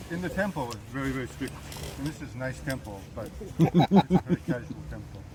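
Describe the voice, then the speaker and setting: Amid noticeable background noise, a man at a medium pitch talks at a fairly quick pace with very wide pitch swings and big swings in loudness. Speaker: Zen priest. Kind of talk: dharma talk. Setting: talk to a meditation group with mic. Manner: casual.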